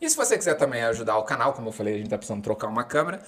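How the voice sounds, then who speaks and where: A man's voice with very wide pitch swings. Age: 30s. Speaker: podcast host. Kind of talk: casual chat.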